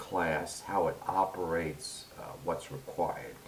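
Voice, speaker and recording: A man with a New York accent talks at a fairly slow pace. Noticeable background noise can be heard. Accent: heavy New York. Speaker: university instructor. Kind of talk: tutorial.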